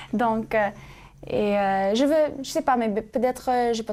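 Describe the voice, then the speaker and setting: A woman with a dark, mellow tone, ordinary pitch variation and a very slow pace, on a very clean recording with a silent background. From US, California, Sacramento. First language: English (speaking French). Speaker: student co-host of religious show. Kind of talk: casual interview chat. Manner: halting, many hesitations.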